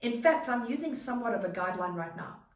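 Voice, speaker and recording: Animated in tone and lively in intonation, the voice moves at a fairly quick pace over noticeable background noise and audible room echo. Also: woman. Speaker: online business coach and content creator. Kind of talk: tutorial. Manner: fast.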